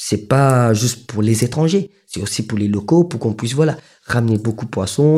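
In a very clean recording with a silent background, a man with a dark, mellow tone and a medium pitch talks at a fairly quick pace, somewhat breathy, with lively intonation. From Mauritius, Grand Baie. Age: 30s. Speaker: fishing boat owner. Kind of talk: interview testimony. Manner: hesitant, filler-heavy.

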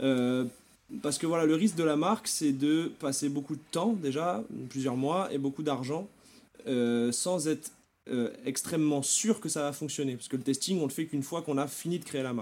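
An ordinary speaking voice from a fairly high-pitched man at a moderate pace, with ordinary pitch variation, on a very clean recording with a silent background. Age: 20s. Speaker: e-commerce entrepreneur. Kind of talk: podcast interview.

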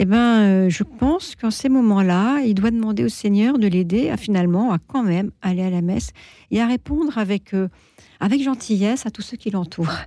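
At medium pitch, a woman speaks in a dark, mellow tone at a moderate pace with ordinary pitch variation, on a very clean recording with a silent background. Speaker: retired editor-in-chief, charity president. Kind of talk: radio talk show discussion. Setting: radio studio.

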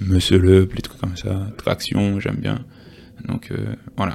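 Noticeable background noise lies under a man's very deep, low voice. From Guadeloupe. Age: 20s. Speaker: fitness coach. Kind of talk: casual interview chat.

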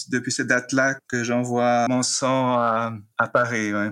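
A man speaks very slowly at a medium pitch. His tone is bright and sharp, his intonation flat and monotone. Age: 50s. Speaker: librarian. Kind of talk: personal testimony. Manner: halting, repeats words.

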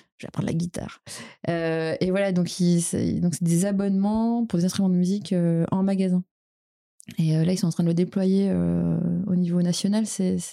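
A woman's dark, mellow voice, monotone and flat, at a fairly slow pace with very even loudness. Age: 30s. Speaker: startup co-founder and CEO. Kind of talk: podcast interview. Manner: halting, many repetitions and fillers.

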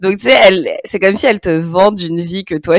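The dry, close sound with no echo carries a woman's medium-pitched voice with a Parisian accent. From Paris region, France. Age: 30s. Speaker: podcaster and blogger. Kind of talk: interview conversation. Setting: remote video call.

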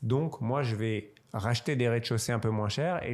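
A man talks at a moderate pace in a normal speaking voice. His pitch is medium. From Strasbourg, Alsace, France. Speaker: wealth manager and football club shareholder. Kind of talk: interview.

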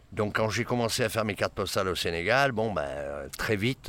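Here is a man with a plain, everyday voice. He speaks at a moderate pace with lively intonation. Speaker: photographer. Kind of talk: interview. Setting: outdoors near city.

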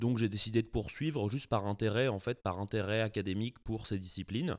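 A man speaks at medium pitch with ordinary pitch variation. The recording is very clean, with a silent background. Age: 20s. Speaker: writer. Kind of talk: interview. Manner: hesitant, many filler sounds.

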